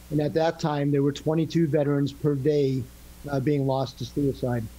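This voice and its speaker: A man with fairly high pitch speaks at a moderate pace, keeping a monotone, flat intonation and very even loudness. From New England. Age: 60s. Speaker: retired Marine and real estate professional. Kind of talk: podcast interview. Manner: halting.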